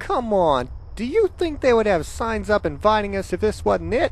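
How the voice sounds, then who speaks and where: Over clear background noise, a put-on character voice talks at a moderate pace. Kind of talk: comic overacting. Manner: boastful, cheerful, overconfident.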